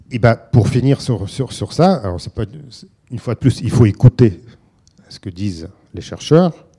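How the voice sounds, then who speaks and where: Speaking at a fairly slow pace with long, frequent pauses, a man with a medium pitch and a dark, mellow, somewhat breathy tone uses lively intonation and big swings in loudness, captured in a dry, close sound with no echo. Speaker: philosopher and researcher. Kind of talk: lecture. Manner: halting.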